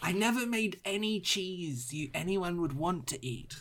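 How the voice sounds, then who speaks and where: Moderate pacing and a middle pitch in a put-on character voice. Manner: sardonic, wry.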